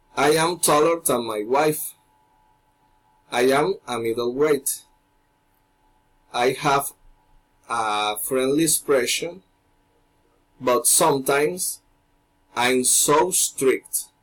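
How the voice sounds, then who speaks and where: Speaking very slowly, a man leaves long, frequent pauses. His pitch is fairly high, with ordinary variation. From Colombia, Barranquilla (Caribbean coast). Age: 30s. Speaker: English language student. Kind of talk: class presentation. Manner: formal.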